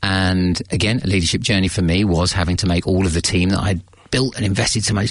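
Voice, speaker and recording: At a fairly quick pace, a man talks in a very deep, low pitch with fairly even intonation. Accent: British. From England. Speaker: leadership coach. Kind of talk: interview. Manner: hesitant, with many fillers.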